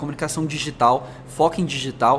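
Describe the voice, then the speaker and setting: A man is talking with a fairly high pitch. He has a slight São Paulo accent. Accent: slight São Paulo interior rolled R. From interior of São Paulo state (Franca). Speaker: marketing executive. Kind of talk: interview.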